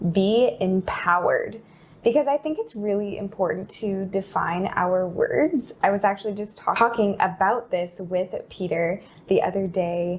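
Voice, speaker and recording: Over noticeable background noise, a woman speaks at a fairly slow pace and medium pitch with ordinary pitch variation. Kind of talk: casual vlog talk.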